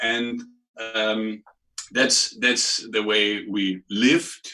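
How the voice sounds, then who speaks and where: Speaking in a German accent, a man has a fairly low pitch, a bright, sharp tone and fairly even intonation. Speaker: clinic clown and performer. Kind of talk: casual interview chat. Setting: video call. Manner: halting, many repetitions.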